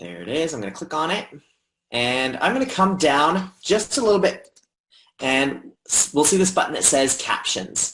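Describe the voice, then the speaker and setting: This man has a fairly high pitch and an American accent. His pitch swings very widely at a moderate pace. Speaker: educational technology trainer. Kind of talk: software tutorial. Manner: casual, conversational.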